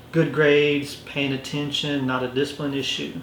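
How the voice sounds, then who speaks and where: A man with a Lowcountry South Carolina accent speaks at medium pitch, fairly slowly and in a monotone, flat intonation, amid audible room echo and noticeable background noise. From US South, Orangeburg, South Carolina. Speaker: police lieutenant. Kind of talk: interview. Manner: words run together.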